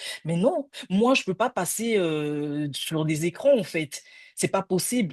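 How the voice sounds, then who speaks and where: In a quiet background, a woman speaks at a fairly slow pace. Her fairly low voice carries lively intonation. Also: dry, close sound with no echo. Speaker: career counselor. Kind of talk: casual chat. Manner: halting.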